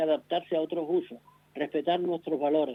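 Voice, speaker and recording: The speaker is a man. His pitch is high. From Canary Islands. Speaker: guest commentator, cultural director. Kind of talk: radio interview by phone.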